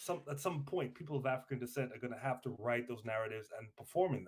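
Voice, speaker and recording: Somewhat breathy and at a very fast pace, a man speaks at medium pitch with ordinary pitch variation. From Trinidad. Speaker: podcast co-host. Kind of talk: casual chat. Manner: hesitant, many fillers.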